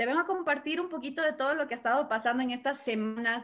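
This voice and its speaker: A bright, sharp tone comes through over a quiet background. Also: woman. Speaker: network marketing trainer. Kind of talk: motivational talk. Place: home room. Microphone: webcam.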